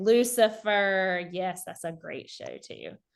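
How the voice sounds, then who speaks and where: A woman with a Southern US accent talks at a fairly slow pace and a medium pitch. The background is quiet. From South Carolina. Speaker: high school economics teacher. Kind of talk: online teacher workshop presentation. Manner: casual, conversational.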